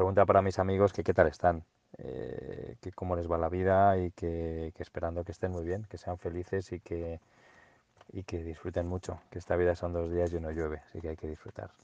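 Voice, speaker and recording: A man with a very deep, low voice speaks at a moderate pace in a monotone, flat way with big swings in loudness, the sound dry and close with no echo over a quiet background. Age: 40s. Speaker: former schoolmate. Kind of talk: recorded personal reminiscence. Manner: halting, many fillers.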